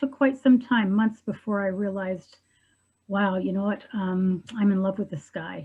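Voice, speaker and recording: Against a quiet background, a woman speaks at medium pitch and a moderate pace in a dark, mellow, somewhat breathy tone. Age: 60s. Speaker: widow sharing her love story. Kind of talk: interview testimony. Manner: hesitant, many fillers.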